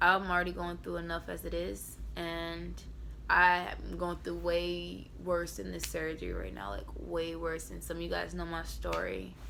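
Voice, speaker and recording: A woman's fairly slow speech comes with audible room echo. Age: young. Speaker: vlogger. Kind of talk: vlog monologue. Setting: hospital bed. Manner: soft-spoken.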